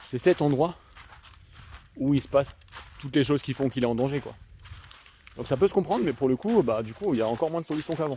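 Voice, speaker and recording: Speaking very fast with a slight Alsatian accent, a man with a fairly high voice leaves long, frequent pauses. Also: ordinary pitch variation. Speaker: youtuber, social work commentator. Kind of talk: casual vlog monologue. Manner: casual, hesitant with many fillers.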